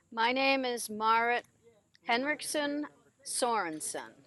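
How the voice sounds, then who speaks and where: A woman with an American accent speaks at a very slow pace in a fairly high voice. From New York, Rockland County. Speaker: daughter of children's home director. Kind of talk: testimony.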